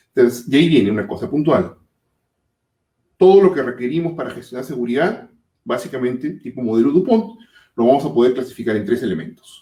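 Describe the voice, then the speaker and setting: The man's pitch sits in the medium range. He speaks at a fairly quick pace with lively intonation. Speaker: safety management consultant. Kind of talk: webinar presentation. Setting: online webinar. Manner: fast.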